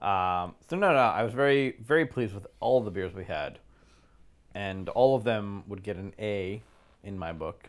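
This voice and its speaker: This man has a normal speaking voice, fairly low in pitch with ordinary pitch variation and big swings in loudness at a moderate pace. The recording is very clean, with a silent background. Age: 30s. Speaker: beer podcast co-host. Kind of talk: casual chat.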